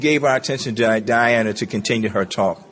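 An unremarkable speaking voice, a man with an American accent talks at a moderate pace with ordinary pitch variation. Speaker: recovering alcoholic speaker. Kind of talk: testimony.

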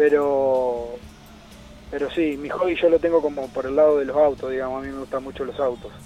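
Over music in the background, a man with a Santa Fe Argentine accent speaks in a fairly high, flat monotone with big swings in loudness. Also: fairly quick pace. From Argentina, Santa Fe city. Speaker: national team kayaker. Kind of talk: interview. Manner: halting, many repetitions.

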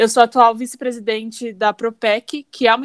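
Very clean, silent-background recording of a woman at a fairly high pitch, monotone and flat, in a dry, close sound with no echo. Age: 20s. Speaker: chemical engineering student. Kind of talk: casual chat.

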